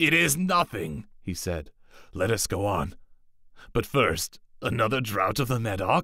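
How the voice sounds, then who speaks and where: A man uses a put-on character voice, fairly low in pitch, speaking at a fairly slow pace with long, frequent pauses on a very clean recording with a silent background. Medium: read story. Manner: boastful.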